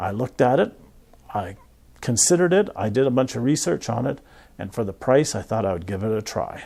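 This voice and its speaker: Soft-spoken, with a dark, mellow tone and medium pitch, a man talks at a moderate pace on a very clean recording with a silent background. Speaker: professional photographer. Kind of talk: casual vlog talk. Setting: studio.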